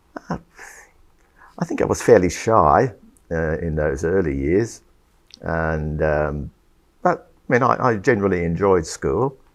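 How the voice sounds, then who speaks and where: A man's very deep, low voice with a slight English accent, fairly slow and lively in intonation, with long, frequent pauses. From Sydney, Australia (born in England, emigrated at five). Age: 70s. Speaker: retired engineer, church member. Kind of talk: interview testimony. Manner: hesitant, many fillers.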